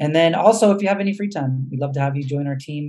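Against a quiet background, a man speaks at a fairly quick pace in a dark, mellow tone that is somewhat breathy. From US West Coast, San Diego, California; California. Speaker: educator, nonprofit founder; educator. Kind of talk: webinar presentation. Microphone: video call.

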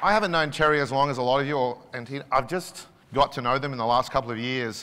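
A bright, sharp tone with an Australian accent, very fast, with ordinary pitch variation. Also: man. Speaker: business executive; keynote speaker. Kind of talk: conference keynote speech. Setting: stage with audience. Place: hall. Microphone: lapel.

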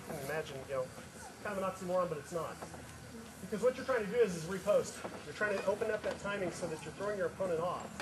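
Noticeable background noise surrounds a man with a high voice. He speaks at a very fast pace with ordinary pitch variation. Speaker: rapier instructor. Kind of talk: demonstration lecture to audience. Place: open country. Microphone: camera far.

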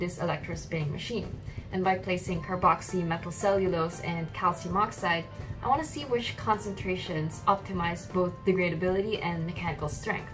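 A woman talks at a fairly quick pace with ordinary pitch variation as clear music plays in the background. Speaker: student intern vlogger. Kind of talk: casual vlog chat explaining science. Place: home room.

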